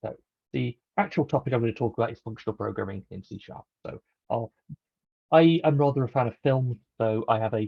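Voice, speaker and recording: The speaker has a British accent and a somewhat breathy quality. The pace is moderate, with ordinary pitch variation. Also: man. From UK. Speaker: software developer, conference speaker. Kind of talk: technical talk.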